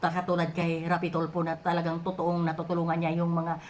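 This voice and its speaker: Her fairly low voice carries audible room echo as the woman talks. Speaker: overseas worker vlogger. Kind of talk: opinion vlog monologue. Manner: halting, many filler sounds.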